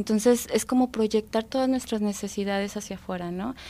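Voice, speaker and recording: A woman's fairly high, dark, mellow voice with ordinary pitch variation. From Mexico, Durango. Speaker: psychologist and thanatologist. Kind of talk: radio interview. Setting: radio studio.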